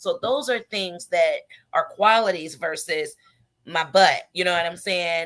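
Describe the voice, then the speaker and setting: A loud woman's voice, fairly low in pitch, with a bright, sharp tone and a moderate pace. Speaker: radio show host. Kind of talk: casual chat.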